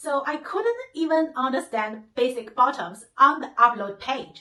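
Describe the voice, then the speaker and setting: In a Chinese accent, the voice is raised and projected, swinging very widely in pitch. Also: woman. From China. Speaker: YouTuber. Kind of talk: vlog tutorial.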